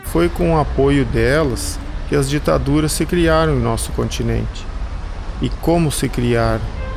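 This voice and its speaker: Fairly slow delivery from a man, with background noise clearly audible. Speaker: voice actor. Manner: ironic, sarcastic.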